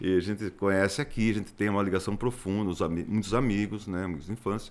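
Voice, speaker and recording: Very fast talk from a man, the intonation fairly even. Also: fairly low pitch for a man. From Brazil, Sorocaba (São Paulo state). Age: 60s. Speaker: geologist. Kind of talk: interview.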